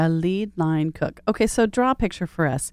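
A woman speaks with an enthusiastic tone, lively intonation and a fairly low pitch at a moderate pace. The recording is very clean and dry, close with no echo, over a silent background. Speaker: podcast host. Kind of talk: interview.

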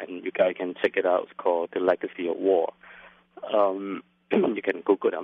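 A man speaks with a Lao accent. His pace is fairly quick. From Laos. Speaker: filmmaker and activist. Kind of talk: interview. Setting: phone call. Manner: hesitant, many fillers.

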